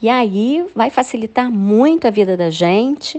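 A woman talks fairly slowly in a normal speaking voice with lively intonation. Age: 50s. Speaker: church women's ministry volunteer. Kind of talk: scripted testimony.

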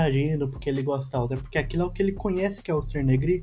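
A man speaks very fast in a fairly high pitch, his tone dark and mellow. His pitch varies in an ordinary way, and the room has an audible echo. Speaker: podcast co-host. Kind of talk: casual chat.

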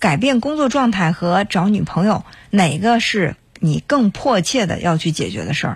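Lively intonation marks a man's voice with a high pitch. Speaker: radio call-in host. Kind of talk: call-in advice show. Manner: calm, conversational.

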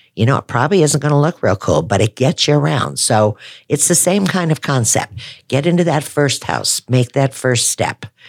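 With a very deep, low pitch and vocal fry, a woman speaks at a moderate pace, her loudness very even and her intonation lively. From Wisconsin, US Midwest. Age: 60s. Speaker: real estate agent. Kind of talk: casual podcast interview.

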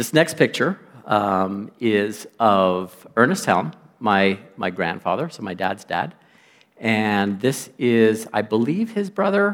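Speaking very slowly in a Canadian accent, a man uses a fairly low pitch with ordinary pitch variation, recorded very cleanly against a silent background. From western Canada (Lloydminster). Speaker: guest lay preacher. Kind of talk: sermon. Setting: church.

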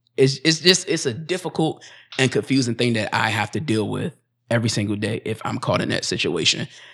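A man with an American accent and a plain, everyday voice, medium in pitch, with lively intonation at a fairly quick pace, on a very clean recording with a silent background. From United States. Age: 30s. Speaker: podcast host. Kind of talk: casual chat.

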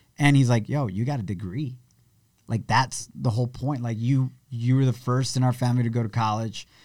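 At a fairly quick pace, a man uses an ordinary speaking voice at a medium pitch with fairly even intonation. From Mexico, immigrated to US at five. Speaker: radio DJ and entrepreneur. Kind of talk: interview conversation.

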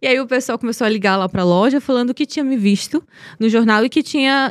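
On a very clean recording with a silent background, a woman with a northeastern Brazilian accent speaks at a very fast pace and a high pitch. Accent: northeastern Brazilian Portuguese (Piauí). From Brazil, Piauí (Teresina). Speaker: model and beauty pageant winner. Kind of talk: casual interview. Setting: studio.

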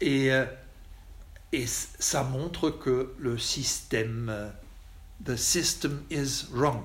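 Speaking very slowly with a German accent, a man leaves long, frequent pauses at a medium pitch, his voice somewhat breathy and his loudness very even. Audible room echo surrounds him. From Germany. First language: German (speaking French). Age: 60s. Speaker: Jesuit priest. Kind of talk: lecture. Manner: halting.

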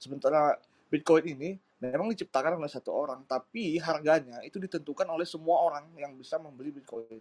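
A man with fairly high pitch and ordinary pitch variation speaks at a very fast pace, the sound dry and close with no echo. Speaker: crypto exchange PR and digital marketer. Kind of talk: casual talk-show discussion. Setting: live audio room online.

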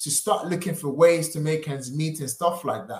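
A man talks in a somewhat breathy voice. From Africa. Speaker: property investor. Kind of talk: podcast interview.

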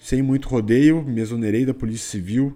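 With music playing in the background, a man talks at a moderate pace with ordinary pitch variation. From Rio Grande do Sul, Brazil. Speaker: investment advisor. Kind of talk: podcast monologue.

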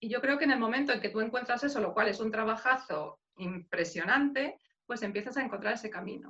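Bright and sharp in tone, a woman speaks in a fairly high pitch at a fairly quick pace. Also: ordinary pitch variation. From Spain, Madrid. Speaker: life coach. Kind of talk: interview.

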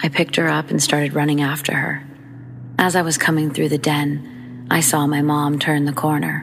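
A woman talks at a moderate pace with a very deep, low pitch and very even loudness. Her intonation is monotone and flat, and there is noticeable background noise. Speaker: horror story narrator and YouTube host. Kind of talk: ghost story telling, reading listeners' first-person scary stories aloud.

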